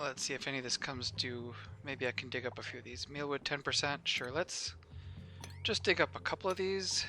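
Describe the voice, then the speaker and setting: Over music in the background, a man mumbles at a fairly quick pace, his medium pitch swinging very widely. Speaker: gaming YouTuber. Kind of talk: gameplay commentary. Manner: mumbling; casual, thinking aloud.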